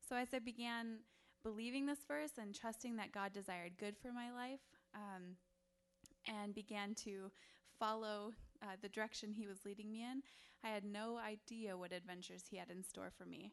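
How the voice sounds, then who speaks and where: A normal speaking voice with an American accent, at a moderate pace. The intonation stays fairly even. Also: woman, fairly high pitch for a woman. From Wisconsin. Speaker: missionary and stay-at-home mom. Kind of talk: mission presentation and testimony to a church.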